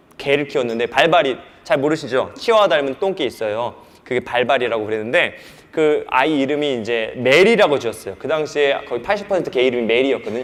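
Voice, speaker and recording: Over noticeable background noise, a man with a fairly high pitch talks at a very fast pace, animated in tone and lively in intonation. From South Korea, North Jeolla (rural Buan/Jeonju). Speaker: pastor. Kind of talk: sermon / lecture on sex education to church youth. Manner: animated, conversational with rhetorical questions.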